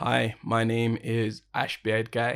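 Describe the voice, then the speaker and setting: At a very slow pace, a man speaks in a medium pitch in a very clean recording with a silent background. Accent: British. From United Kingdom. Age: 20s. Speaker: sound engineer and podcast host. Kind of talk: casual chat.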